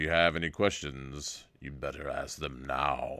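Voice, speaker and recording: In a put-on character voice, a man booms at a very deep, low pitch with fairly even intonation, captured in a very clean recording with a silent background. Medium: read story. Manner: commanding.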